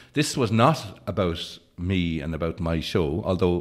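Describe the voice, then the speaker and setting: A man with an Irish accent speaks at a very deep, low pitch against a quiet background. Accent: Irish (Leitrim). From County Leitrim, rural Ireland. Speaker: actor, writer; actor. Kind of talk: interview answer. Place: studio. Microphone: studio mic.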